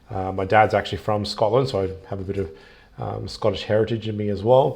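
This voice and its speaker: This man has an Australian accent and a fairly low pitch. His voice is somewhat breathy, with ordinary pitch variation at a fairly quick pace. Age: 30s. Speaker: travel vlogger. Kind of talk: casual live stream monologue. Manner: hesitant, many fillers.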